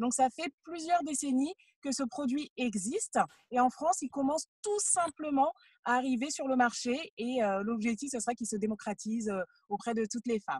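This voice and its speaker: A woman speaks in a high voice with lively intonation, recorded with a dry, close sound and no echo. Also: moderate pace. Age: 20s. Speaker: entrepreneur. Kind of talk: interview. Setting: in a car.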